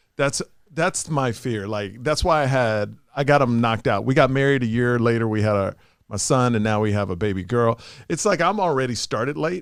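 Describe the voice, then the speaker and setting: A man talks in a plain, everyday voice at a medium pitch. His pace is fairly quick and his intonation lively. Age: 40s. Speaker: comedian and podcast host. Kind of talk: casual chat.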